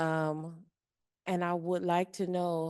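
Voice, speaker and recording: A woman with an American accent speaks at a very slow pace, in a dark, mellow tone and a fairly low pitch. Her intonation is monotone and flat, and the background is quiet. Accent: twang. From Indiana, Kentucky, Ohio region of US Midwest. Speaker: audience member asking a question. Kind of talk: audience question.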